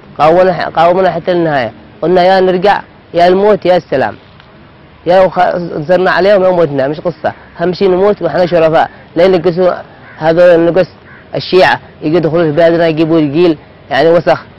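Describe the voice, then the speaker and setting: In a dry sound with no echo, a man with a high pitch and fairly even intonation speaks at a moderate pace, with long, frequent pauses. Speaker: interviewee. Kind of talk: interview answer. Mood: earnest, defiant. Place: open country. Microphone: lapel.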